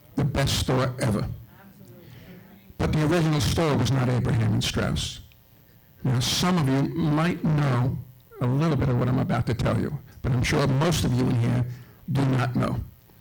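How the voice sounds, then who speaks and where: A man with a New York accent talks at a medium pitch with ordinary pitch variation, very even loudness and long, frequent pauses, amid noticeable background noise and audible room echo. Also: moderate pace. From Brooklyn, New York. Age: 70s. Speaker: local historian. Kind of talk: speech to an audience.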